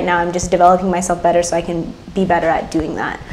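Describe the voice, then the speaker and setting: There is noticeable background noise and audible room echo as a woman with an American accent speaks at a medium pitch. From US, Ethiopian diaspora. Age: 20s. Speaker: college student and policy intern. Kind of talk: interview.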